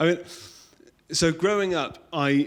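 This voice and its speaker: Recorded very cleanly over a silent background, a man speaks. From England, Kent (Royal Tunbridge Wells). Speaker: church member sharing testimony. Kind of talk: testimony.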